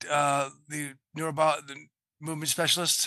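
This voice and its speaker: In a Boston accent, a man talks at a moderate pace with a fairly high pitch and a bright, sharp tone. His intonation is monotone and flat, against a quiet background. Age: 60s. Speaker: film and television production veteran. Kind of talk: interview.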